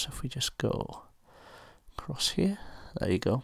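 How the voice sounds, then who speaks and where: A quiet voice with a British accent, somewhat breathy. The recording is very clean, with a silent background. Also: man. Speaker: student pilot, app reviewer. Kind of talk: tutorial. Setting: at home at night, housemates asleep. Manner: quiet, speaking low; hesitant, many fillers.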